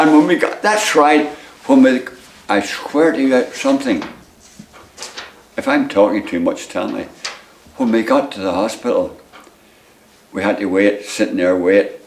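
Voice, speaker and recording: A man with a Northern Irish accent, at a moderate pace with long, frequent pauses, over noticeable background noise. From Northern Ireland. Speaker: retired footballer, goalkeeper. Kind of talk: interview answer. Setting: at home.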